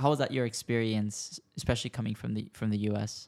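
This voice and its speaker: This man has an unremarkable speaking voice at medium pitch, talking at a moderate pace with fairly even intonation. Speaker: podcast host. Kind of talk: casual interview.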